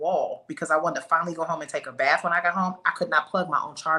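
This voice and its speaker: A woman with a fairly low pitch speaks at a very fast pace. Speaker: real estate agent and women's health advocate. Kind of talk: casual chat.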